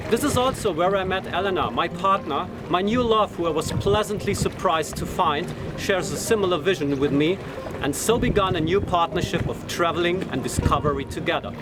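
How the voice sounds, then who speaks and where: Over noticeable background noise, a man speaks at a fairly quick pace. His pitch is high, with ordinary variation. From Germany. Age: 40s. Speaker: sailing vlogger and sailing instructor. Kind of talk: scripted narration.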